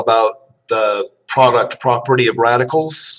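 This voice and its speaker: Using an ordinary speaking voice, a man of medium pitch talks at a fairly slow pace with fairly even intonation. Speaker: math instructor. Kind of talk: lecture.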